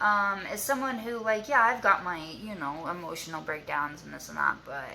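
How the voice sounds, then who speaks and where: A woman with a medium pitch and vocal fry speaks at a fairly slow pace with lively intonation. Her tone is bright and sharp, and audible room echo surrounds it. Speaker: YouTuber sharing abuse survivor story. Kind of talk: casual vlog to camera. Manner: halting, filler-heavy.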